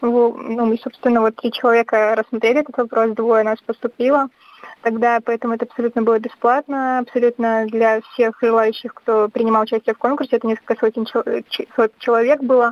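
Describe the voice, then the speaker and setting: A woman speaks fairly quickly at a fairly high pitch, her intonation monotone and flat. The sound is dry and close, with no echo. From Belarus, Brest region (Baranovichi). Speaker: graduate student and documentary filmmaker. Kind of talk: radio interview.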